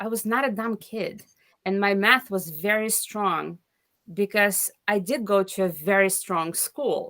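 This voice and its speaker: A woman with a medium-pitched voice speaks at a fairly slow pace. Her tone is bright and sharp. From Lithuania. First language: not English. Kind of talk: interview answer.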